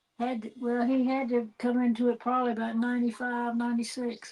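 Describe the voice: A woman with a fairly high pitch and a slightly mellow tone speaks at a fairly quick pace, with little pitch movement.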